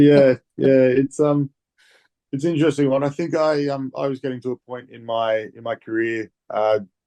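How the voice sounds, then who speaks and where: Here a man speaks with an Australian accent in a dark, mellow tone. His pace is moderate and his pitch variation ordinary. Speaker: rugby player. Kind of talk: interview.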